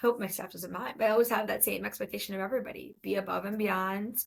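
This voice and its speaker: Vocal fry colors the speech of a woman whose voice sits at a medium pitch. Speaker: podcast host and speech-language pathologist. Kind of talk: solo podcast monologue.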